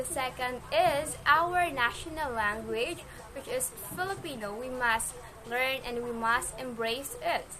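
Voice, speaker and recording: In a Western Visayas accent, a woman projects a raised, high voice at a fairly slow pace with ordinary pitch variation, amid audible room echo and noticeable background noise. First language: Hiligaynon. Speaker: interviewee. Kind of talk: short answer to question.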